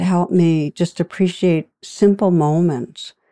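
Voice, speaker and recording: A woman's fairly low, dark, mellow voice at a very slow pace, in a very clean recording with a silent background and a dry, close sound with no echo. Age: 60s. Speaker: meditation teacher, psychologist and author. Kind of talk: interview answers, reflective.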